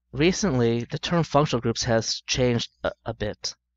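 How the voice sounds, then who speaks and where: Here a man uses a normal speaking voice at a medium pitch. His pace is moderate, with ordinary pitch variation. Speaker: chemistry teacher. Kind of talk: lecture.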